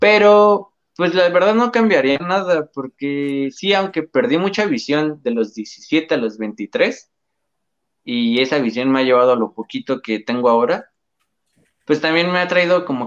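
A man speaks in a fairly high voice that swings very widely in pitch. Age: 20s. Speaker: paralympic archer. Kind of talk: interview.

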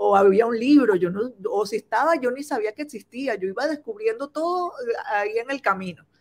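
A woman speaks at a moderate pace. Her pitch is fairly high and her intonation lively. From Venezuela. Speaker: importing business owner. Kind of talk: live-stream interview.

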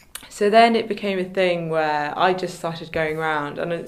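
Someone with a southern English accent talks at a fairly quick pace with ordinary pitch variation, with audible room echo around the voice. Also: woman. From England, Kent. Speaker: photographer and business founder. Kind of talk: interview.

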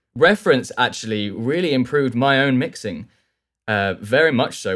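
A man talks with a southern English accent. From southern England. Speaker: audio engineer and plugin developer. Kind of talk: interview.

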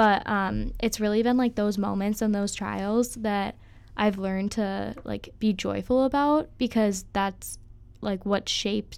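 A woman with an Upper Midwest accent talks at a fairly slow pace with fairly even intonation. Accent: Upper Midwest American. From Minnesota, Twin Cities area. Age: 20s. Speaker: college student athlete. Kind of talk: casual chat.

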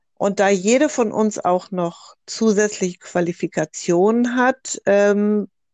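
An unremarkable speaking voice against a quiet background. The sound is dry and close, with no echo. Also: woman. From northern Germany, Hamburg. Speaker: doula and psychotherapy practitioner. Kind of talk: group discussion.

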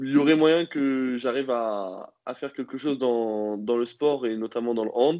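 A man speaks at a fairly slow pace in a dark, mellow tone with a medium pitch. The background is quiet. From Normandy, France. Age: 20s. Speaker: professional handball player. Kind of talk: interview. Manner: halting, many repetitions and fillers.

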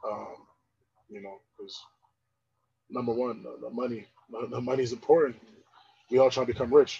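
With an American accent, a man speaks at a fairly quick pace, broken by long, frequent pauses and big swings in loudness. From Pennsylvania, Poconos area. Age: 20s. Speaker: podcast co-host. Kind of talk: casual chat.

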